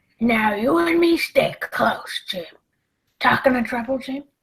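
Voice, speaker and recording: A raspy, female-sounding put-on character voice with a fairly high pitch. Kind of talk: pirate dialect. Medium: audio drama. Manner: gruff, wheedling, commanding.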